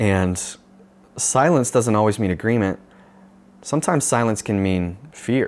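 With a Californian accent, a man of fairly low pitch talks at a moderate pace with lively intonation. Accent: Californian American. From Northern California, US. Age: young. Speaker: pastor. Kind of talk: video sermon talk; reflective personal talk, mentoring. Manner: casual, with many fillers. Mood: earnest, reflective. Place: home room. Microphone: lapel.

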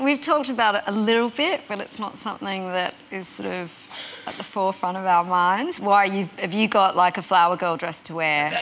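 A woman with an Australian accent at a moderate pace, big swings in loudness, and light background noise. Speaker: singer and actress. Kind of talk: interview answer. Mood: smiling, lighthearted. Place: studio. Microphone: lapel.

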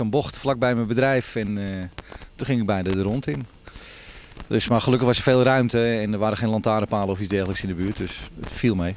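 A man with a fairly low voice talks at a fairly quick pace and ordinary pitch variation. The sound is dry with no echo, with light noise in the background. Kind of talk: interview answer. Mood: relaxed, smiling. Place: street. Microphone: handheld.

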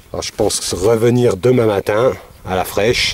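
A man with an unremarkable speaking voice talks at a fairly slow pace with fairly even intonation, in a dry sound with no echo. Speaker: metal detecting vlogger. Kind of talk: casual vlog narration. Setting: outdoors in a field. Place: farm. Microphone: phone near.

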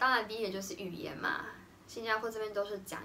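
Light background noise is audible. A woman talks over it. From Taiwan. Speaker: vlogger, art teacher. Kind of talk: casual vlog talk to camera.

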